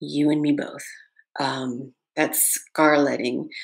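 Against a quiet background, a woman talks in a very deep, low voice. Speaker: YouTube ASMR creator hosting a memorial livestream. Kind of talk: live-streamed memorial eulogy mixed with chatting to viewers. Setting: home livestream with ring light and USB mic. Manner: heartfelt, grieving, speaks intimately to viewers; rambling and conversational, many ums, greets chat by country. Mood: warm, grateful, memorial tone. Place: home room. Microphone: webcam.

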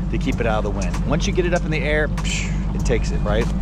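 A man, dry sound with no echo, and loud background noise. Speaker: fishing guide. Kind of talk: casual vlog chat. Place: boat. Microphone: phone near.

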